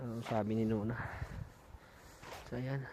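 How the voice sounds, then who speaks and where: Soft-spoken delivery at a fairly slow pace, with audible room echo. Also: man. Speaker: vlogger. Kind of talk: walking vlog. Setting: outdoors, mountain park.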